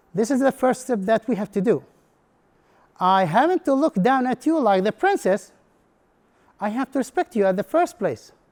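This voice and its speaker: In a very clean, dry, close recording with no echo and a silent background, a man speaks at a moderate pace with an extremely high pitch and very wide pitch swings. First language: Arabic. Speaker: English instructor. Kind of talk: conference presentation. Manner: halting.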